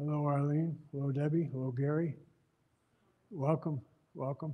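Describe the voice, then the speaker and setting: A man with an American accent and a fairly high pitch speaks at a moderate pace, somewhat breathy and in a monotone, flat intonation. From Buffalo, New York. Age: 70s. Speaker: advocate and author, former elected official. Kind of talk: talk to community audience. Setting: room with live audience. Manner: casual, conversational with hesitations.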